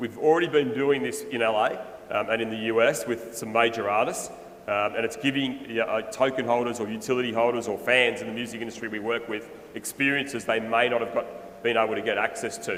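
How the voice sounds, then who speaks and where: A man with an Australian accent speaks very fast at a medium pitch, his intonation fairly even. The room echo is audible, and background noise is noticeable. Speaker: music NFT project founder. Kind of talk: conference presentation.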